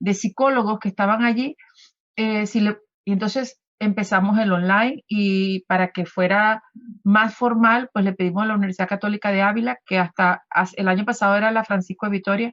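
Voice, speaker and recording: Speaking at a fairly quick pace, a woman holds a medium pitch with fairly even intonation. Her loudness stays very even. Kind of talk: radio interview. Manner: halting, many fillers.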